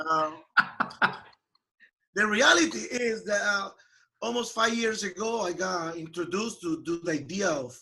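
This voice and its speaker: A man in a Peruvian accent at a moderate pace, bright, sharp tone and ordinary pitch variation. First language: Spanish. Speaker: software company founder and CEO. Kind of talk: interview.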